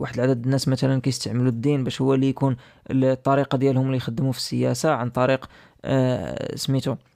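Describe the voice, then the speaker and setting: Speaking very fast in a flat monotone, a man with a medium pitch has a dark, mellow tone. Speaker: podcast host. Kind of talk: educational podcast monologue. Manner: casual, with hesitations.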